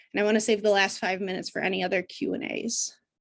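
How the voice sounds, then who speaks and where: Against a quiet background, a woman speaks at a fairly quick pace with a medium pitch and ordinary pitch variation. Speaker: special education teacher. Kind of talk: live training webinar. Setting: video call. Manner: fast. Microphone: video call.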